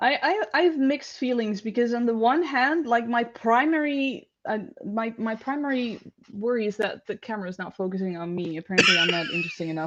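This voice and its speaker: A woman with a Dutch accent talks at a fairly quick pace. Her fairly high voice has lively intonation. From Netherlands. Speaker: panel guest. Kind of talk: casual discussion.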